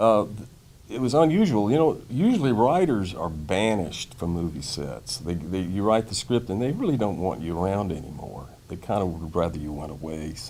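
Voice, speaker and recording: At a moderate pace, a speaker with a Mississippi accent uses very wide pitch swings amid audible room echo. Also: man, fairly low pitch for a man. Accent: Mississippi Southern. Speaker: comedy screenwriter. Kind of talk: interview. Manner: relaxed, conversational with frequent fillers.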